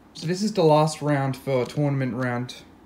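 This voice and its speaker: The pace is moderate. Light background noise sits behind the voice. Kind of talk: casual vlog chat. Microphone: phone near.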